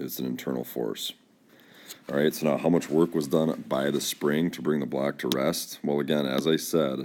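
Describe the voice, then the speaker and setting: A man speaks at a moderate pace with a very deep, low pitch. His intonation stays monotone and flat. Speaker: physics teacher. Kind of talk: lecture. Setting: screen-recorded whiteboard video. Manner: halting, many fillers.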